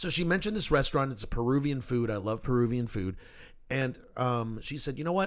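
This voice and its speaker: An ordinary speaking voice, fairly quick, with lively intonation. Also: man, medium pitch for a man. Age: 50s. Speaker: podcast host. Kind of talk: casual chat. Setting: studio.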